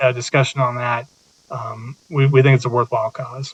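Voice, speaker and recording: The man's voice is medium-pitched and somewhat breathy. He talks fairly quickly in a monotone, flat intonation. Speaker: police deputy chief. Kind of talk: presentation and Q&A. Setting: city council meeting. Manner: hesitant, many fillers.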